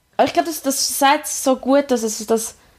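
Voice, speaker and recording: Ordinary pitch variation at a very fast pace. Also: woman. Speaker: podcast host. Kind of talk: casual chat.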